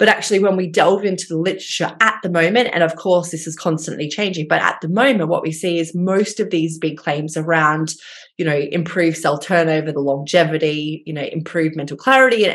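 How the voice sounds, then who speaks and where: A woman with an Australian accent talks at a fairly quick pace and a fairly low pitch. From rural Australia. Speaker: dietitian and gut health researcher. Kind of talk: interview.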